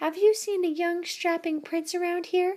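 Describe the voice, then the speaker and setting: The speaker uses a squeaky, put-on character voice. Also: woman. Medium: read story.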